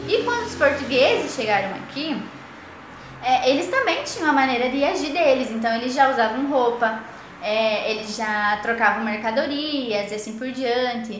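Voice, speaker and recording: A woman talks at a high pitch, with audible room echo and noticeable background noise in the recording. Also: ordinary pitch variation, moderate pace. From Paraná, southern Brazil. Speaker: teacher trainee. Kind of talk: recorded lesson for primary pupils. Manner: hesitant, many fillers.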